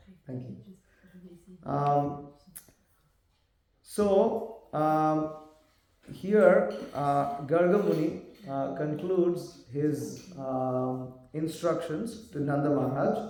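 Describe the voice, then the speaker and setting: A man's very slow, fairly high voice in an Indian accent, dark and mellow in tone, with ordinary pitch variation, long, frequent pauses and audible room echo. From South India, Tamil. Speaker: monk preacher. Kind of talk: lecture. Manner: animated.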